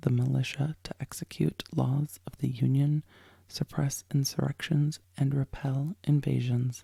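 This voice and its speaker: Soft-spoken and somewhat breathy, a woman talks at a fairly slow pace in a very deep, low pitch with a dark, mellow tone and fairly even intonation, in a dry, close sound with no echo. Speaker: lawyer and legal commentator, podcast host. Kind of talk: ASMR sleep story reading of a legal text. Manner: soft-spoken, slow, calming.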